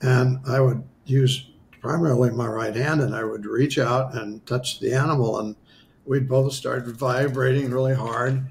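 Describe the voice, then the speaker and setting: Speaking with an American accent, a man uses a medium-pitched, somewhat breathy voice at a fairly slow pace with monotone, flat intonation. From US Midwest, western South Dakota. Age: 70s. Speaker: spiritual healer. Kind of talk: interview storytelling.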